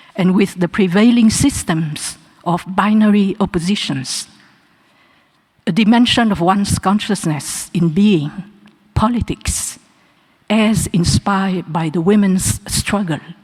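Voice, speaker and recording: Somewhat breathy, a woman speaks fairly slowly at a medium pitch with ordinary pitch variation and long, frequent pauses. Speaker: honorary doctorate recipient. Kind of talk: acceptance speech. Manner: formal.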